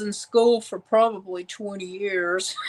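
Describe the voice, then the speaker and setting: A normal speaking voice with ordinary pitch variation delivers the words at a fairly slow pace. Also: woman. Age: 60s. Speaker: artist and YouTuber. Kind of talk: casual interview chat.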